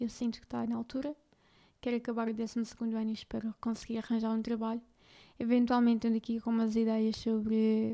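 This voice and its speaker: A woman's fairly high voice with a European Portuguese accent, a dark, mellow tone and monotone, flat intonation at a fairly quick pace. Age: 20s. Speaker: podcaster. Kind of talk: personal testimony. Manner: halting.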